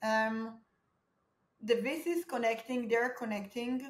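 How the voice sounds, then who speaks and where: A woman talks at a fairly slow pace in an Israeli accent, her pitch fairly high. Audible room echo surrounds her words. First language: Hebrew. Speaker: startup founder; guest. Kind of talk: interview. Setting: video call. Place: home room.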